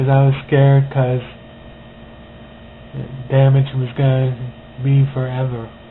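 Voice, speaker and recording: Noticeable background noise sits behind a man. He speaks at a medium pitch and a fairly slow pace. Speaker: stroke survivor. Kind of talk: personal testimony. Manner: slightly impeded speech; hesitant, with fillers.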